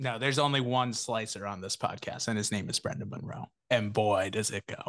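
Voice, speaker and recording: Fairly low in pitch for a man, he talks at a fairly quick pace with ordinary pitch variation, the sound dry and close with no echo. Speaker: podcast host. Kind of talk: casual chat. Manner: animated.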